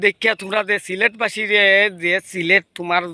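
A man with a Sylheti accent speaks in a high pitch. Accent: Sylheti Bengali. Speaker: YouTuber. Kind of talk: roast video. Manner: animated.

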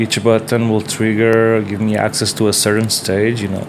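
A man's medium-pitched voice with a Portuguese accent, moderate pace, and light background noise. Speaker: DIY synthesizer builder and video maker. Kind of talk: tutorial video log. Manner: halting, many filler words; enthusiastic. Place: home room. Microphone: earbuds.

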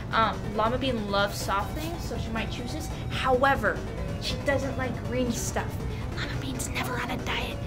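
Clear music plays behind a woman who speaks at a middling speed. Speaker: vlogger. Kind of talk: casual vlog chat. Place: shop. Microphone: camera far.

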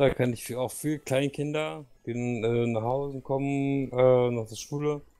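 Over background music, the speaker talks at a very slow pace. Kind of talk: casual chat. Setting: voice chat while gaming.

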